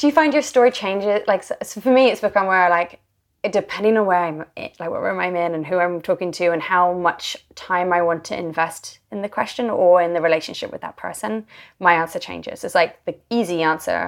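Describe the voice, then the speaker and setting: A woman speaks at a fairly quick pace. Her pitch is medium, with ordinary variation. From England. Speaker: author and journalist. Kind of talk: podcast interview conversation.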